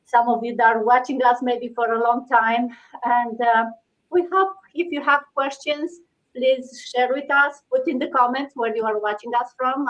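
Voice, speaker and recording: The speaker has a Romanian accent and a moderate pace. Long pauses come often. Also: woman, high pitch for a woman, ordinary pitch variation. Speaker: live stream host, IT project director. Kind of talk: casual live stream chat. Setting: live video stream.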